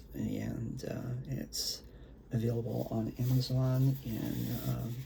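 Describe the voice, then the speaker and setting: A soft-spoken man amid audible room echo and noticeable background noise. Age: old. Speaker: poet and author. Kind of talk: casual talk to camera before poetry reading. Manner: hesitant, many fillers.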